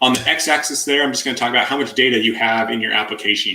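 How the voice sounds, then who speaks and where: A man speaks very fast, his intonation rather flat, with background noise clearly audible. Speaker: tech conference speaker. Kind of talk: technical presentation.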